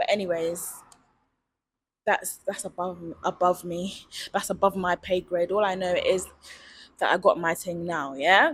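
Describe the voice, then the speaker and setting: A woman in a London accent at medium pitch, with fairly even intonation and long, frequent pauses. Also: fairly slow pace. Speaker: vlogger. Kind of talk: casual vlog monologue. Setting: outdoors at night. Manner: casual, chatty.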